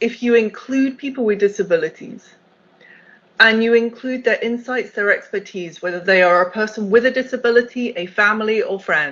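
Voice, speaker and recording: Speaking at a moderate pace, this woman has a British accent. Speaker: accessibility executive. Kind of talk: keynote talk.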